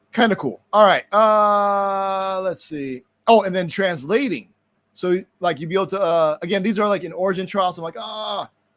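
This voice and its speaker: A man's high voice with big swings in loudness. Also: ordinary pitch variation, quiet background. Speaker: web developer streamer. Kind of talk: casual live stream commentary. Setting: live online stream. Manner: fast; casual, filler-heavy.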